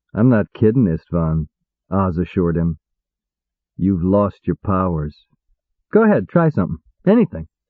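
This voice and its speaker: A man drawls in a put-on character voice with a very deep, low pitch. He keeps a moderate pace but leaves long, frequent pauses. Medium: read story. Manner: drawling, dry.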